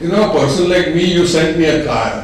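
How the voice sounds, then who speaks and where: Over noticeable background noise and audible room echo, a man talks at a fairly quick pace. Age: 80s+. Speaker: plastic surgeon. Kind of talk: informal talk at a medical meeting.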